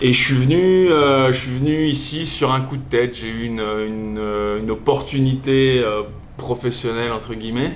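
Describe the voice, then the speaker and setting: With ordinary pitch variation, a man talks through noticeable background noise and audible room echo. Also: medium pitch for a man, moderate pace. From Alsace, France. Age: 40s. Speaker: gym owner, former DJ. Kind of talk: interview. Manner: casual, with many fillers and repetitions.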